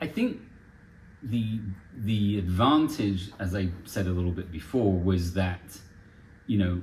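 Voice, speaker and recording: A man with a fairly low pitch speaks fairly slowly, somewhat breathy, with ordinary pitch variation. He leaves long, frequent pauses, and audible room echo surrounds his voice. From France (Paris), English-American expat. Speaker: charity director. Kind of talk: casual interview.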